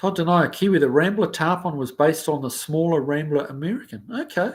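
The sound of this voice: Fairly quick man's voice, fairly high-pitched with a slightly husky edge and lively intonation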